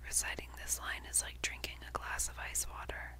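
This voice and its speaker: Background noise is clearly audible. Over it, a woman whispers. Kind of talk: book reading. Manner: whispered.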